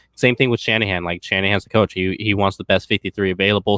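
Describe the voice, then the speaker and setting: A fairly low-pitched man, fast-ish and flat in a monotone. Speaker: sports podcast host. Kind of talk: casual chat.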